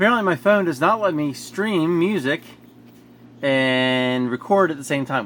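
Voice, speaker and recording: A man speaks over noticeable background noise. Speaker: hobbyist maker. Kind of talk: tutorial. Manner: halting.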